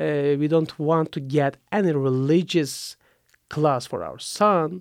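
Recorded dry and close with no echo against a silent background, a man with a Turkish accent speaks at a fairly slow pace and fairly high pitch with ordinary pitch variation. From Turkey. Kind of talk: interview testimony. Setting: studio.

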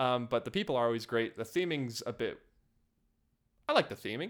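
In a normal speaking voice, a man talks at a fairly quick pace with lively intonation, on a very clean recording with a silent background. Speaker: podcast host. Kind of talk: casual chat.

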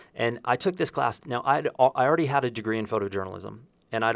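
A man's very fast speech with vocal fry, recorded very cleanly against a silent background. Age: 50s. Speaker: podcast host and photographer. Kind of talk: interview. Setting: on location in Santa Fe.

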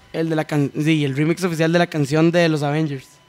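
He has a normal speaking voice, fairly high in pitch for a man. His pace is fairly quick. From Costa Rica, San Ramón. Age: 20s. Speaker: DJ and electronic music producer. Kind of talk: casual chat.

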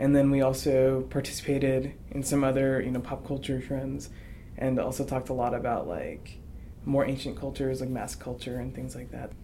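There's audible room echo as a man speaks at a fairly quick pace. His medium-pitched voice has a monotone, flat intonation. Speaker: university student. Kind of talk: interview.

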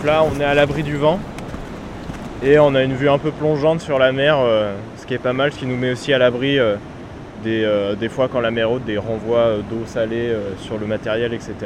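With long, frequent pauses, a man speaks at a medium pitch and a moderate pace with ordinary pitch variation over noticeable background noise. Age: 20s. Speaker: musician and composer. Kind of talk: casual interview on location. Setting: outdoors by the sea.

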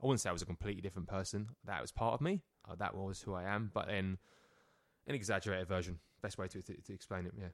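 With a London accent, a man talks at a very fast pace. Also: fairly low pitch for a man, ordinary pitch variation. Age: 30s. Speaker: personal trainer. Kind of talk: casual chat. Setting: studio.

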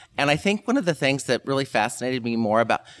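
Recorded with a dry, close sound and no echo, a man with an American accent talks at a very fast pace in a fairly high, vocal-fry voice with very wide pitch swings. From US Midwest (Kansas, then Indiana). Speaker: fashion professor. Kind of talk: interview.

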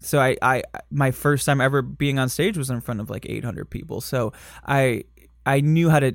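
On a very clean recording with a silent background, a man with a Michigan accent speaks at a medium pitch and a moderate pace, his intonation fairly even. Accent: Michigan, general American. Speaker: drag performer and podcast host. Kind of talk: casual interview chat.

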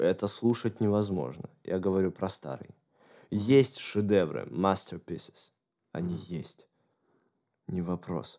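Fairly slow speech with ordinary pitch variation and long, frequent pauses. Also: man, very deep, low pitch for a man. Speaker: guitarist and songwriter. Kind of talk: casual interview chat.

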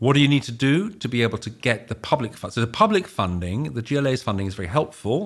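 At a very fast pace and with hardly any pauses, a man talks at a medium pitch with lively intonation. The recording is very clean with a silent background. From Netherlands. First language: Dutch. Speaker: housing developer CEO. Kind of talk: podcast interview.

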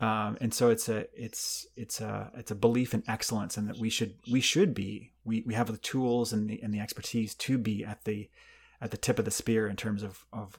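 A man talks at a moderate pace with a medium pitch. His intonation stays monotone and flat. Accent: Canadian. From Canada, small town. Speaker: anesthesiologist, division chief. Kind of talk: interview. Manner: halting, many repetitions and fillers.

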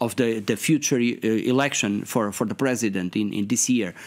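A man speaks with a Portuguese accent. His intonation is lively. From Portugal. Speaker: member of European Parliament. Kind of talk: interview. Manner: halting, hesitant with fillers.

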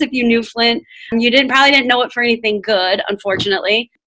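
A woman with a Michigan accent speaks in a high, bright, sharp tone with ordinary pitch variation. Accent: Midwestern American (Michigan). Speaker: education professor. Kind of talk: podcast interview. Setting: at home, remote recording.

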